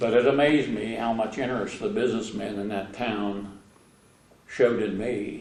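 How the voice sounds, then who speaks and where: An American-accented man at medium pitch, fairly even intonation and a moderate pace, with audible room echo. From southern Ohio, Brown County near Ripley. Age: 90s. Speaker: interviewee sharing life memories. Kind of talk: oral history interview. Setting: museum interview. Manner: hesitant, with frequent uh fillers.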